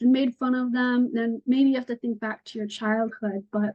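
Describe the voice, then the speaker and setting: A woman speaks in a high pitch with a Northeastern US accent. Her pitch variation is ordinary. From upstate New York. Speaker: nature journaling teacher. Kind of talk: online workshop.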